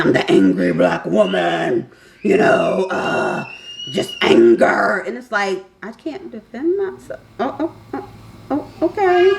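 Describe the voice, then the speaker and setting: A woman speaks loudly at a very slow pace. There is noticeable background noise. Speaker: vlogger. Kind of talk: casual vlog monologue.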